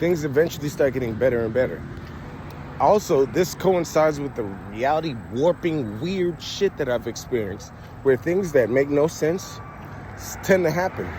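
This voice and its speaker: With lively intonation, a man talks at a moderate pace against noticeable background noise. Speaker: vlogger. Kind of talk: casual monologue. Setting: outdoors by a main road. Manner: loud; animated.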